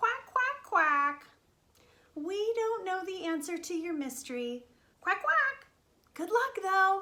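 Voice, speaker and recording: A woman uses a put-on character voice, squeaky and extremely high in pitch. Her pace is fairly slow, with long, frequent pauses. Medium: read story. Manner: quacky, cheerful.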